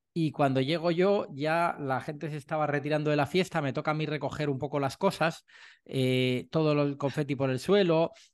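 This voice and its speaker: Over a quiet background, a man with an unremarkable speaking voice talks at a fairly high pitch and a moderate pace with fairly even intonation. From Madrid, Spain. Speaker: sales trainer and author. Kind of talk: casual interview chat.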